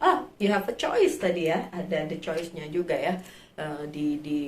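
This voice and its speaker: A woman speaks with very wide pitch swings. Room echo is audible. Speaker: tarot reader. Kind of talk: tarot reading for viewers. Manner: casual, with many fillers.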